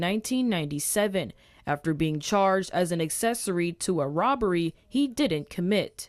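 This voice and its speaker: A woman with a normal speaking voice talks at a moderate pace, her pitch medium and her intonation lively. The recording is very clean, with a silent background. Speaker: TV news reporter. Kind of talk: TV news report.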